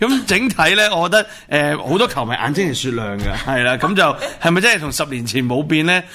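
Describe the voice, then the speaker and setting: With a Hong Kong accent, a man talks at a fairly quick pace with hardly any pauses, using a fairly high pitch, very wide pitch swings and a bright, sharp tone. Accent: Hong Kong Cantonese. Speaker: radio host, football talk. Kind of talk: casual chat about football and news.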